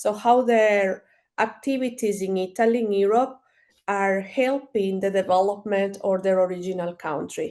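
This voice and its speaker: The voice carries a Spanish accent and a dark, mellow tone. Its intonation is fairly even. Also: woman, medium pitch for a woman, moderate pace, quiet background. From Ecuador. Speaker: marketing strategist and entrepreneur. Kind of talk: interview. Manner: halting, many fillers and repeats.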